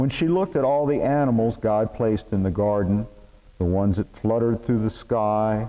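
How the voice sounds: Ordinary pitch variation shapes this natural reading voice.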